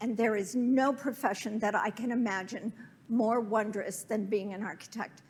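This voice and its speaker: The speaker uses a normal speaking voice at a moderate pace. Intonation stays fairly even. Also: woman. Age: 60s. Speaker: architect. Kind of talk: lecture.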